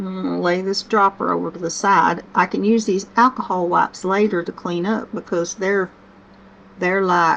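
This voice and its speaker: Noticeable background noise sits behind a woman with a Southern US accent. Her medium pitch carries fairly even intonation. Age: 60s. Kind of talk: casual talk to camera. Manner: slow-paced, gentle.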